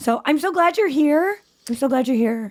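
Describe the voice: In a very clean recording with a silent background, a woman speaks at a moderate pace in a raspy, high-pitched voice with lively intonation.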